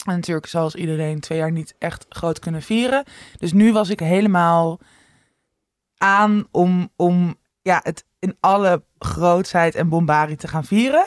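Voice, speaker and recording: A woman's fairly low voice at a very slow pace, with ordinary pitch variation and a dry, close sound with no echo. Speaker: podcast co-host. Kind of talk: casual chat. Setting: co-host's living room.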